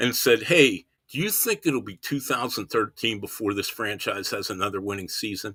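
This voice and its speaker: A man speaks at a moderate pace in a medium pitch, his tone bright and sharp. The pitch varies in an ordinary way on a very clean recording with a silent background. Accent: American. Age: 60s. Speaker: baseball writer. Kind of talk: podcast interview.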